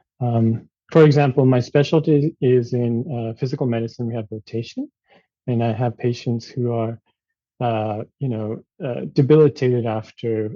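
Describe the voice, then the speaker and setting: Speaking fairly slowly, a man keeps his medium-pitched voice fairly even in intonation. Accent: Japanese. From Japan, suburb of Tokyo. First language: Japanese. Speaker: physician. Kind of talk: interview. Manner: halting, many fillers.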